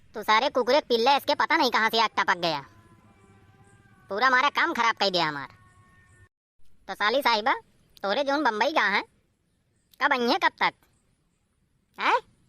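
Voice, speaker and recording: A cartoonish character voice from a woman, fairly high in pitch with very wide pitch swings, a moderate pace and long, frequent pauses. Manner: loud, rustic, grumbling.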